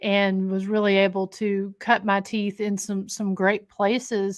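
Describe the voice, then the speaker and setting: The voice, with an Appalachian accent, comes through on a very clean recording with a silent background. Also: woman. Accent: southern Appalachian US. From Scott County, Tennessee (Appalachia). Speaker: paranormal investigator and historic jail co-owner. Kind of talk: podcast interview. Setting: haunted location.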